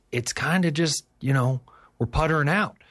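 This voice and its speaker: Someone with an Appalachian accent talks against a quiet background. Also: man. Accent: Appalachian Kentucky. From Kentucky. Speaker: agriculture company founder. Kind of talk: radio interview. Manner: halting, many repeats and fillers.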